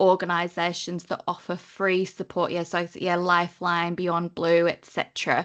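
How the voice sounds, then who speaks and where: The voice has a northern English accent. It moves at a moderate pace over a quiet background. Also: woman. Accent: northern English, near Liverpool. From northern England, Lake District. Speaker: training compliance consultant. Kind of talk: webinar presentation.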